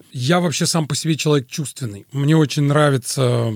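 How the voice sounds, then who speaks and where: A man with a fairly high pitch talks at a moderate pace with ordinary pitch variation. The sound is dry and close with no echo, though background noise is noticeable. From Azerbaijan (Baku). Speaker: radio host and musician. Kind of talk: interview. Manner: formal, literary phrasing.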